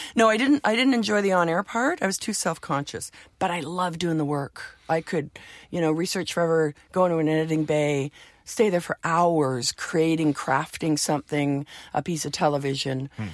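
A woman with a plain, everyday voice speaks with a Canadian accent at a fairly low pitch and a moderate pace. Her intonation is lively, and the recording is very clean, with a silent background. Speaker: music TV and record industry veteran. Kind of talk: casual interview.

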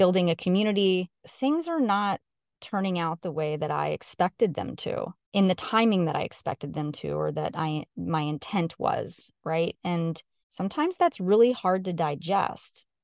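A plain, everyday voice from a woman, fairly low in pitch with ordinary pitch variation, at a moderate pace, dry and close with no echo over a quiet background. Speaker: personal finance podcast host and money coach. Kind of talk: casual podcast monologue.

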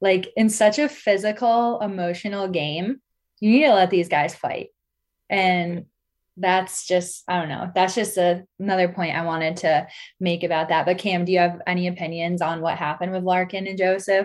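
A normal speaking voice with ordinary pitch variation comes through over a quiet background. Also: woman, medium pitch for a woman, moderate pace. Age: 20s. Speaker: podcast host. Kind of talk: casual chat.

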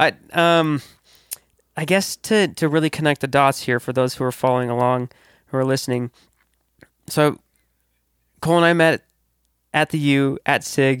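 On a very clean recording with a silent background, a man with an American accent speaks at a moderate pace and fairly high pitch, with fairly even intonation, long, frequent pauses and a dry, close sound with no echo. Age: 20s. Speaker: podcast host and DJ. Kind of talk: casual chat.

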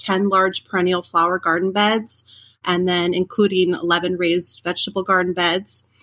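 Speaking at a moderate pace with an Upper Midwest accent, a woman has a medium-pitched voice with a bright, sharp tone and a dry, close sound with no echo. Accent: Upper Midwest American. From central Minnesota. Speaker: home gardener. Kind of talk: interview.

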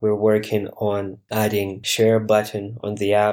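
At a very slow pace, a man talks with a fairly low pitch. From Ukraine. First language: Ukrainian or Russian. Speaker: app startup co-founder. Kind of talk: interview.

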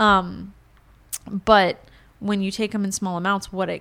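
A woman speaks with an American accent in a normal speaking voice at medium pitch. Her intonation stays fairly even. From Florida, US, Cuban family. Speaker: salon owner and entrepreneur. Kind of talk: casual interview chat.

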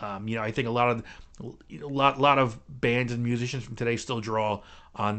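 With an American accent, a man talks at a moderate pace and medium pitch in an ordinary speaking voice, his intonation fairly even. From New Jersey (Clifton, near New York City). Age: 50s. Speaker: podcast host and guitar teacher. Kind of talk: solo podcast monologue. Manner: casual with many fillers and repetitions.

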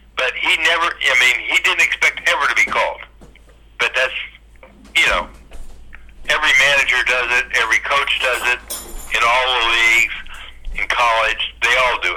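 Against noticeable background noise, a man with an American accent keeps his loudness very even and leaves long, frequent pauses. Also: moderate pace. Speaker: retired volleyball player. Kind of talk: reminiscing interview.

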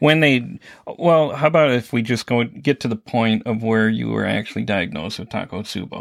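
At a moderate pace, a normal speaking voice comes through with lively intonation. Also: man, medium pitch for a man. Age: 50s. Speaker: podcast host, EMT. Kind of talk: casual interview.

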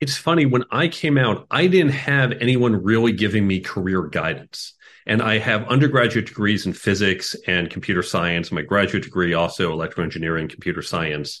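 Fairly quick and fairly low-pitched, a man speaks in an American accent with very wide pitch swings. The background is quiet. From Chicago, US Midwest. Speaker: tech executive and career coach. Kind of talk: interview conversation.

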